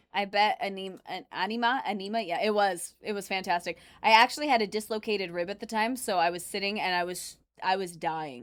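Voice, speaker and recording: A woman's medium-pitched voice at a fairly quick pace, with ordinary pitch variation and a very clean recording over a silent background. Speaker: livestreamer reacting to videos, former restaurant nurse mascot. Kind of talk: casual livestream chat reading chat messages. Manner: loud; animated.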